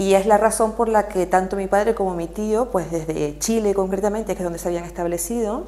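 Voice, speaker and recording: In a Canarian accent, a woman speaks at medium pitch with fairly even intonation. Noticeable background noise is present. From Canary Islands. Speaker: activist. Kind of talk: TV interview.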